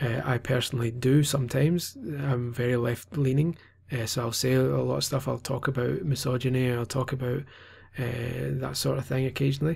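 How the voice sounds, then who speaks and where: Someone with a Scottish accent talks at a fairly quick pace in a somewhat breathy voice with fairly even intonation. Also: man, medium pitch for a man. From Scotland. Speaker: gaming journalist. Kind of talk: vlog monologue. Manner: hesitant, many fillers.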